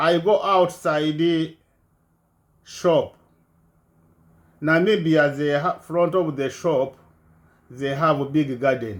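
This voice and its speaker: A man with a fairly high pitch speaks at a very slow pace, leaving long, frequent pauses. His pitch varies in an ordinary way. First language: not English. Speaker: refugee telling his life story. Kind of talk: personal testimony. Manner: halting.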